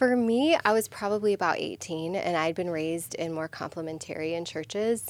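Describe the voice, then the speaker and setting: A woman speaks in a normal speaking voice, fairly low in pitch with ordinary pitch variation. Her pace is fairly quick, and the recording is very clean with a silent background. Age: 40s. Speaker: pastor. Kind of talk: casual chat.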